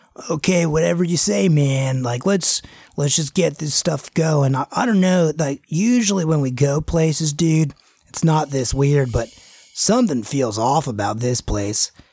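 A man puts on a character voice, drawling at a moderate pace with a fairly high pitch. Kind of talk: surfer-dude slang. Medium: actual play. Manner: laid-back, drawling, "man" and "dude".

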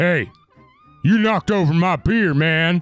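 A man's put-on character voice, high-pitched, at a fairly slow pace, with faint music in the background. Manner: barking, aggressive.

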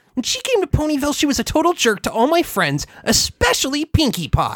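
A put-on character voice, high-pitched and at a fairly quick pace. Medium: read story. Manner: brash, confident.

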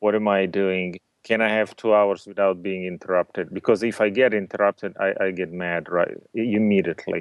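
Talking at a fairly quick pace with hardly any pauses, a man with a non-native accent keeps his fairly low pitch in a monotone, flat intonation. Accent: foreign-accented English. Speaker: entrepreneur. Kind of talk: casual interview.

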